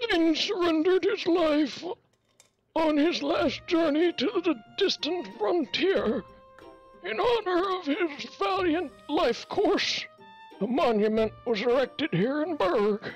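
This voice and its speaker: Over faint background music, a put-on character voice speaks at a fairly slow pace. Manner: doddering, elderly.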